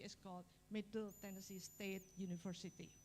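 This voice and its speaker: A somewhat breathy woman's voice with an Indonesian accent. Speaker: university biology professor. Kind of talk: lecture.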